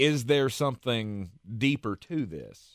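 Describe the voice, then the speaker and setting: A man at a very slow pace. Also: very clean recording, silent background. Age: 40s. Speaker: sports radio host. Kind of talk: casual sports talk. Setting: radio studio.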